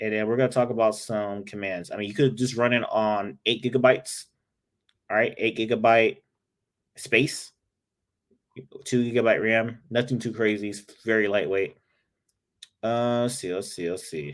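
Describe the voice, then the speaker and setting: A man's animated voice at medium pitch, broken by long, frequent pauses. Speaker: IT instructor. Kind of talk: live-streamed tutorial. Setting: live stream. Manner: fast; casual, animated.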